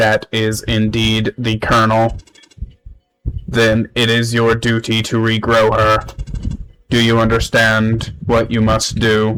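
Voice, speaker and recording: A man in a put-on character voice, medium in pitch, monotone and flat, fairly slow, with long, frequent pauses. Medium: solo performance. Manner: formal, solemn.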